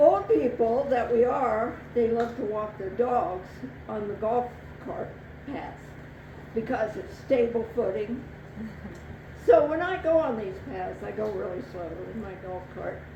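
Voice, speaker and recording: A woman with a fairly high pitch speaks at a fairly slow pace, her intonation lively and her loudness swinging widely, with long, frequent pauses. Audible room echo and noticeable background noise fill the recording. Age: 70s. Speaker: storyteller. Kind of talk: live storytelling. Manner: animated.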